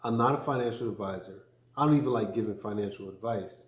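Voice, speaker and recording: The voice is somewhat breathy, moving at a moderate pace with audible room echo. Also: man. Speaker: crypto vlogger and business owner. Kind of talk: casual vlog talk. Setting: studio. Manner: measured, with many fillers.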